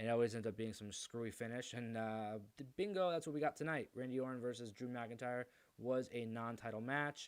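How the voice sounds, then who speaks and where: A man talks at a fairly quick pace, his medium-pitched voice showing ordinary pitch variation. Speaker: wrestling podcast host. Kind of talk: solo show review. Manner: fast; animated.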